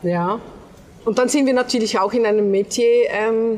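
Her pitch moves with ordinary variation. The woman talks at a fairly slow pace. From Switzerland. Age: 50s. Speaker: hotel owner, emigrant. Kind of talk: interview. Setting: on location at her hotel. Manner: halting.

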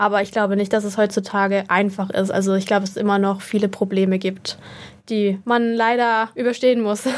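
A woman speaks at a fairly quick pace and medium pitch. Her intonation is monotone and flat. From Germany, Würzburg (Lower Franconia). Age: 20s. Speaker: content creator and model. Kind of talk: casual interview chat.

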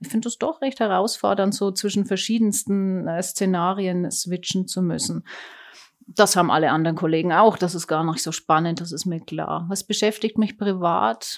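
With a medium pitch and ordinary pitch variation, a woman speaks at a moderate pace on a very clean recording with a silent background. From Germany. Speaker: oncologist. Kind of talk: interview. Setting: clinic.

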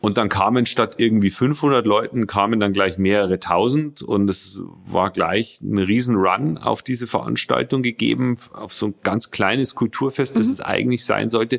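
At a moderate pace, a man speaks with vocal fry in a fairly low voice, his pitch varying in an ordinary way. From Bavaria, Regensburg. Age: 40s. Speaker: company spokesperson. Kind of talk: interview. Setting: studio. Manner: hesitant, many fillers.

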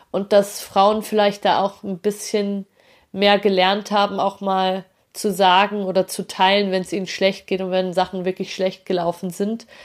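On a very clean recording with a silent background, a woman talks at a fairly slow pace and medium pitch in a monotone, flat way. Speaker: podcast host. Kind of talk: solo podcast monologue.

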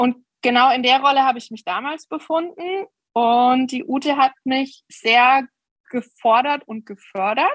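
Pitched high, a woman speaks at a fairly slow pace with ordinary pitch variation, in a dry, close sound with no echo. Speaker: horse breeder and riding trainer. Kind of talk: interview. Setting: video call.

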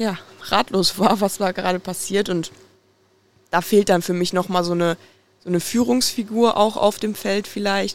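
A woman at medium pitch and moderate pace, with fairly even intonation. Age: 20s. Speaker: football fan podcast guest. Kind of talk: casual chat.

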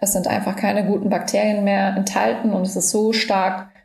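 A woman's medium-pitched, fairly slow speech with audible room echo. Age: 30s. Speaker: health influencer and micronutrient therapy student. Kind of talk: interview, personal health story. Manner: frequent filler sounds (ähm, äh).

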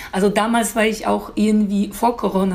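A woman speaks in a Polish accent at a moderate pace. Her pitch is medium, and her intonation is fairly even. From Poland. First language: Polish (speaking German). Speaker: beautician. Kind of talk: interview. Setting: outdoor terrace.

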